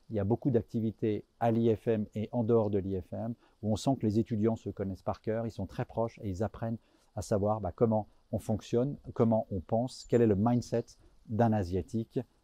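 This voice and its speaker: A man speaks at a medium pitch with a dark, mellow tone and fairly even intonation. His moderate pace comes through a dry, close sound with no echo. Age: 50s. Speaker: business school professor. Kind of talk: interview testimonial.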